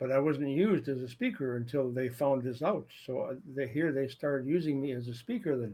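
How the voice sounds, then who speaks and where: A man's dark, mellow tone at a fairly quick pace, hardly any pauses, and ordinary pitch variation. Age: 70s. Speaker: storyteller. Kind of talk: personal storytelling. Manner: halting, repetitive. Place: home room. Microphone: webcam.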